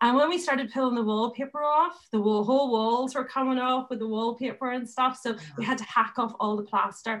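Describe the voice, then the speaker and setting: A woman speaks at a fairly quick pace. Her pitch variation is ordinary. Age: 40s. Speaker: interior designer. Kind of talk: casual chat.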